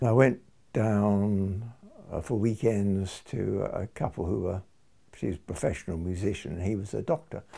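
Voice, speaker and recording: A man speaks with an English accent in a dark, mellow tone. His pace is moderate and his pitch variation ordinary. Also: fairly low pitch for a man. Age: 80s+. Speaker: retired doctor and early music reenactor. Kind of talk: documentary interview.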